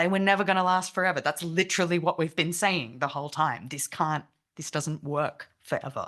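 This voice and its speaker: Speaking with an Australian accent, a woman uses a fairly low pitch and a bright, sharp tone at a fairly quick pace over a quiet background. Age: 30s. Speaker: activist speaker. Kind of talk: talk. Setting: meeting with online participants.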